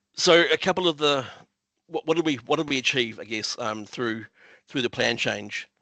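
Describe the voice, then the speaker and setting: A man speaks with a New Zealand accent at a fairly high pitch. His tone is bright and sharp, and the sound is dry and close with no echo. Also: ordinary pitch variation. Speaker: council planner. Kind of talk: conference presentation. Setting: online video meeting. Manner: fast; hesitant, many fillers and repetitions.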